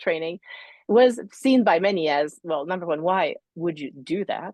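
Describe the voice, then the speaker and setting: A woman at a moderate pace with lively intonation. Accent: slight French. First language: French. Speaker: leadership psychologist. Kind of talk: interview. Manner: halting.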